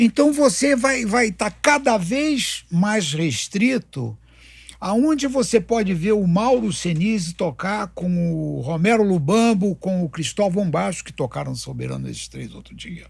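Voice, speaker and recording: This man has a high pitch that makes very wide swings. He talks at a fairly slow pace with big swings in loudness. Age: 70s. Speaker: conductor and composer, jazz club owner. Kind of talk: interview conversation. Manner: halting, repeats words.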